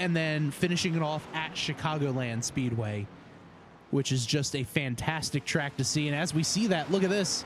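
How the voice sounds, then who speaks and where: At a moderate pace, a man with a New Jersey accent speaks at a fairly high pitch, somewhat breathy, with ordinary pitch variation. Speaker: sim racing commentator. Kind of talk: live commentary. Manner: casual, filler-heavy.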